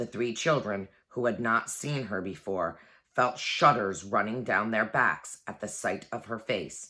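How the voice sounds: The voice is a natural reading voice. Behind it, the background is quiet.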